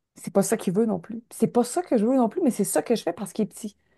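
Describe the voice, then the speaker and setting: A woman speaks at a fairly quick pace with a Quebec accent and a dark, mellow tone. The sound is dry and close with no echo, over a quiet background. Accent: Québécois French. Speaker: media host / interviewer. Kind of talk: casual chat. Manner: loud.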